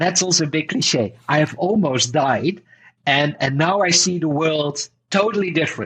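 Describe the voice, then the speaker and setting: A man with a Dutch accent speaks at a fairly high pitch, with ordinary pitch variation and very even loudness. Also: moderate pace. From Netherlands. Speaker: entrepreneur and author. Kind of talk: podcast interview. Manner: animated.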